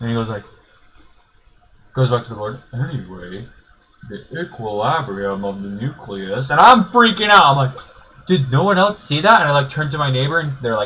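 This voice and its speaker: A loud, animated man with a fairly high pitch, very wide pitch swings and long, frequent pauses, against noticeable background noise. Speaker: YouTuber telling personal stories. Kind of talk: casual storytelling.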